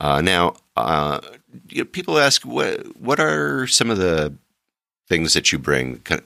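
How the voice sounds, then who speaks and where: A man talks at a fairly slow pace with vocal fry. His pitch shows ordinary variation. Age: 60s. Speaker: travel podcast host. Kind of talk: casual monologue. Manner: halting, many filler words.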